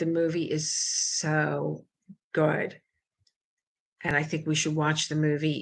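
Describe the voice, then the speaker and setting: With an American accent, a woman speaks very slowly at a very deep, low pitch, with a bright, sharp tone, vocal fry, fairly even intonation, and long, frequent pauses. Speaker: crafting livestream host. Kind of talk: casual livestream chat. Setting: home kitchen.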